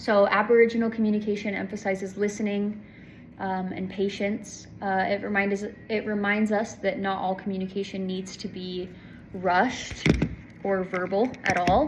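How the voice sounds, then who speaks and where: A woman speaks in a monotone, flat intonation. Noticeable background noise is present. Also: medium pitch for a woman. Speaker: student giving a class presentation. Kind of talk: class presentation. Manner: slow; halting with many fillers.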